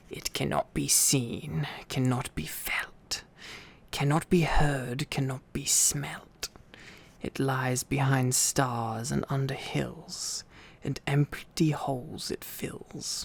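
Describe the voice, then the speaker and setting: A man whispers in a put-on character voice at a very slow pace. The whisper carries a hissing sound. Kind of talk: silly comic impression. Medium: read story. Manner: hissing, broken grammar, talks to himself.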